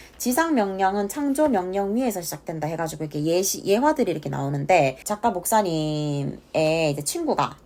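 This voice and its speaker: A woman speaks with a Gyeongsang accent at a moderate pace, barely pausing. Her fairly low pitch swings very widely. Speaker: book reviewer. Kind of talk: casual book review talk to camera.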